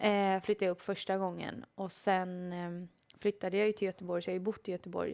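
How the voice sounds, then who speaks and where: A woman's medium-pitched voice in monotone, flat intonation at a fairly quick pace, in a very clean recording with a silent background. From Sweden, Småland. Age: 30s. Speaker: professional footballer. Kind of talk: interview. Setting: studio.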